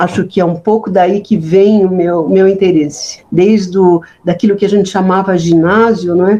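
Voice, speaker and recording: A woman's dark, mellow tone in a flat monotone, at a moderate pace with very even loudness and hardly any pauses. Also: medium pitch for a woman. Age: 70s. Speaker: history professor. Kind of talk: interview. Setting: at home. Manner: halting, many repetitions.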